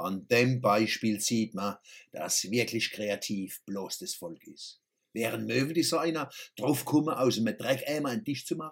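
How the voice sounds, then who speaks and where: At a fairly slow pace, a man speaks with lively intonation and medium pitch. His loudness swings widely. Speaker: satirical columnist. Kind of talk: satirical monologue.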